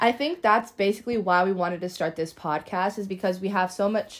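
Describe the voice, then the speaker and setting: In a very clean recording with a silent background, a woman with an unremarkable speaking voice talks fairly quickly at a medium pitch with ordinary pitch variation. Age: 20s. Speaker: podcast co-host, college student. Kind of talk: casual chat. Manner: frequent filler words.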